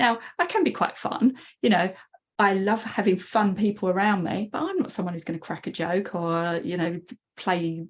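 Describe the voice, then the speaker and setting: Her voice sits at a medium pitch and sounds somewhat breathy. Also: ordinary pitch variation, moderate pace. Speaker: coach. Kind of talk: casual chat. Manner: quiet.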